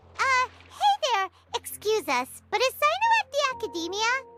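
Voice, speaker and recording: A squeaky, extremely high put-on character voice speaks at a moderate pace, with faint music in the background. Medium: video game. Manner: chatty, cheeky.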